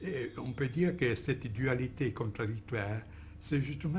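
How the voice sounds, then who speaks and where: A man's somewhat breathy, medium-pitched voice at a moderate pace, with ordinary pitch variation. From Italy. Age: old. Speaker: philosopher, interviewee. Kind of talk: interview answer. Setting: archive recording.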